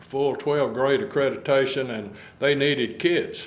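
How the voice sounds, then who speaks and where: Audible room echo surrounds a man with a Texas accent. His pitch is fairly high and his pace moderate. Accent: Texas rural. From Texas, Montgomery County. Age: 70s. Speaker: retired sheriff, local elder. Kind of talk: oral history interview. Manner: halting, many fillers.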